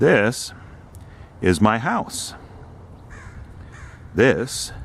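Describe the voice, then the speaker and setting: Speaking with ordinary pitch variation, a man uses a fairly low voice. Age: 70s. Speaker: hobby wire sculptor showing his home. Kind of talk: casual video home tour narration.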